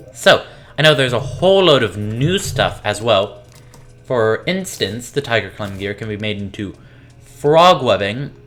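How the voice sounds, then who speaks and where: Behind a man's medium-pitched voice, there is music in the background. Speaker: gaming youtuber. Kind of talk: let's play commentary.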